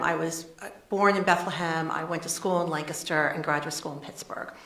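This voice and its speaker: A woman speaks at a fairly quick pace, barely pausing, in a flat monotone at a fairly low pitch. Her loudness swings widely, and the recording carries audible room echo and noticeable background noise. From Pennsylvania, US. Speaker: charity CEO. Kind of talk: interview. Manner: fast.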